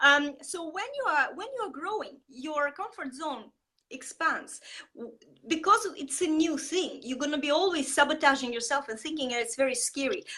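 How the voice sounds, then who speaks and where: A woman's raised, projected voice with a non-native accent, high in pitch and bright and sharp in tone, with lively intonation, big swings in loudness and a moderate pace. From Estonia. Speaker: marketing coach. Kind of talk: interview. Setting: live video stream. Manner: animated; halting.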